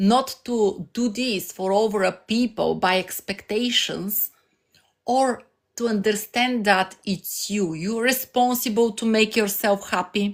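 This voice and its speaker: Fairly slow and medium-pitched, a woman's voice keeps fairly even intonation. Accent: Bulgarian. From Bulgaria. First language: Bulgarian. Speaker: life coach streamer. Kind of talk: live stream motivational talk. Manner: halting.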